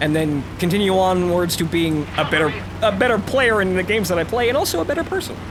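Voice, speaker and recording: The speech comes at a very fast pace with ordinary pitch variation. Audible room echo and noticeable background noise fill the recording. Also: man, high pitch for a man. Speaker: let's play gamer. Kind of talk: gameplay commentary. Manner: fast, mushes words; stuttering.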